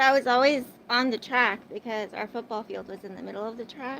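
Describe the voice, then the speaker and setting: At a moderate pace, a woman talks in a high pitch. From Arizona, US. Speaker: livestreamer. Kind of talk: casual livestream chat with viewers. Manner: chatty, filler-heavy.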